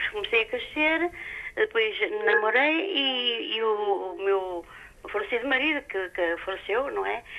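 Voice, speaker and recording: Very wide pitch swings from a woman with a fairly high voice, delivered at a fairly slow pace. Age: 80s+. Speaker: caller. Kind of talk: phone-in question, personal story. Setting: phone call. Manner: halting.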